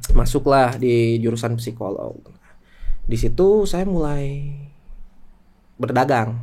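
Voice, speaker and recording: In a room with audible echo, a man speaks at a very slow pace and medium pitch, with lively intonation and long, frequent pauses. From Indonesia, Garut (West Java). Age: 20s. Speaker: entrepreneur. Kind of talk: casual podcast interview.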